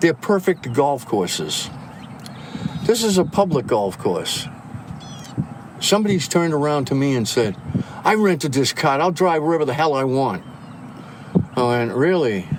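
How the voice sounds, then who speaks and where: Over noticeable background noise, a man with a fairly high pitch and very wide pitch swings speaks at a moderate pace with long, frequent pauses. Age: 70s. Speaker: golf course marshal. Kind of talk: casual chat. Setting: outdoors on a golf course.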